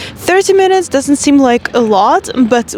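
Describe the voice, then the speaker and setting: Background noise is clearly audible. Over it, a woman talks at an even, moderate pace. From Russia. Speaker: life coach. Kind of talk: vlog-style monologue. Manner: casual, conversational.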